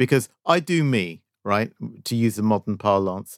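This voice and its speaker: An ordinary speaking voice belonging to a man, fairly low in pitch with ordinary pitch variation, comes through a very clean recording with a silent background and a dry, close sound with no echo. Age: 50s. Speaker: video game podcast co-host. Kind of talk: casual chat.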